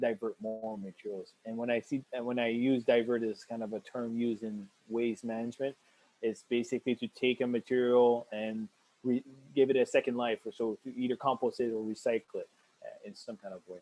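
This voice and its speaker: Monotone and flat, a man with a medium pitch speaks at a fairly quick pace with big swings in loudness. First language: French. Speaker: waste management educator. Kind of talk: webinar Q&A. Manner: halting, many fillers.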